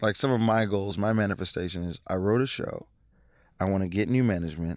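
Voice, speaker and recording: A man with an American accent keeps a moderate pace on a very clean recording with a silent background. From Seattle, Washington. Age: 30s. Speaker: stand-up comedian. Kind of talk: casual chat. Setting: studio. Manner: halting, repeats words.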